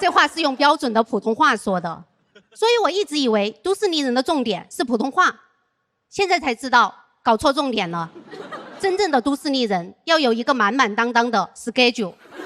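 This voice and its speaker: Her high voice carries a Sichuan accent, with very wide pitch swings and big swings in loudness. This woman keeps a moderate pace. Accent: Sichuan-accented Mandarin. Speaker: stand-up comedian. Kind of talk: stand-up.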